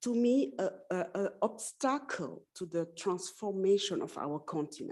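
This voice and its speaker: A woman with a French accent speaks at a fairly slow pace in a medium pitch. Her tone is dark and mellow, and her intonation is lively. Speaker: panelist at women in STEM forum. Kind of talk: panel discussion remarks. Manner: halting.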